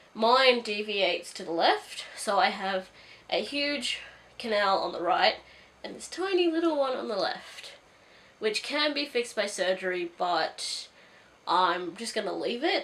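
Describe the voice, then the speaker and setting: A woman speaks at a fairly high pitch with very wide pitch swings and big swings in loudness. Noticeable background noise sits behind her. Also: fairly slow pace. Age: 20s. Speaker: booktuber. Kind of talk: casual vlog monologue. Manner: hesitant, many fillers.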